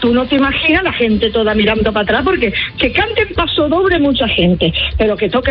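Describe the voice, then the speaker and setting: Against noticeable background noise, the speaker talks at a very fast pace with very even loudness and very wide pitch swings. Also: woman. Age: 70s. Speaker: singer. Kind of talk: radio interview.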